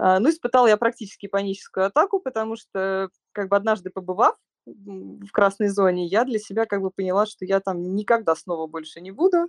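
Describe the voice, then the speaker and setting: A woman with medium pitch and ordinary pitch variation talks at a fairly quick pace in an unremarkable speaking voice, with big swings in loudness. The sound is dry and close, with no echo. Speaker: hand therapist. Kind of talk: call-in personal story. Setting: online call.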